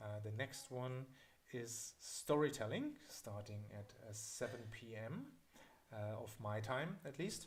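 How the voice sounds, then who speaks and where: A man speaks at a very slow pace with a German accent, sounding somewhat breathy. His medium pitch carries ordinary pitch variation. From Germany (south of Berlin). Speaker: miniature painting teacher. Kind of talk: live-streamed hobby class Q&A. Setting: live stream. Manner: halting, many fillers.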